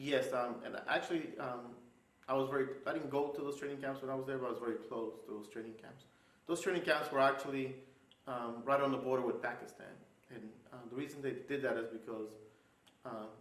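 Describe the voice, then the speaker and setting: A man with an American accent talks at a fairly quick pace in a medium pitch, his intonation fairly even but his loudness swinging widely, in an ordinary speaking voice. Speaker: Army National Guard battalion commander and Afghan War veteran. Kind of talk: oral history interview answer. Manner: measured, formal, with frequent filler pauses.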